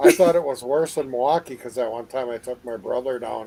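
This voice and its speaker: Speaking at a fairly quick pace, a man talks with an Upper Midwest accent. His pitch is medium and his intonation fairly even. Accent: Upper Midwest American. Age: 60s. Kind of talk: casual chat. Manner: halting.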